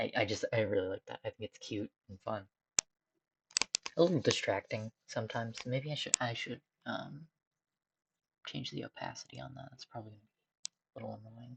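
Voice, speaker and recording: A woman talks at a fairly quick pace with long, frequent pauses and big swings in loudness, the sound dry and close with no echo. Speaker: streamer, digital artist. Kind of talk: casual live-stream commentary while drawing. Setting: home room during a live stream. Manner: rambling and thinking aloud, with self-interruptions.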